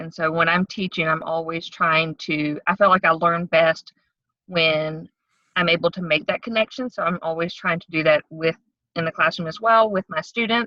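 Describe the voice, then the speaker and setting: Speaking at a moderate pace, a woman with a Southern accent uses a fairly low pitch and ordinary pitch variation. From North Carolina, Wake County. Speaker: middle school science teacher. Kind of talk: interview.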